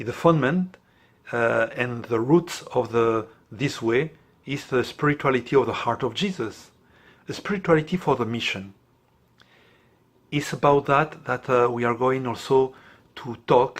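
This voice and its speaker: A man with a non-native accent speaks at a moderate pace and medium pitch with ordinary pitch variation and long, frequent pauses, on a very clean recording with a silent background. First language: not English. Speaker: priest, international director of a prayer network. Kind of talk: explanatory talk to camera. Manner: halting, with many fillers.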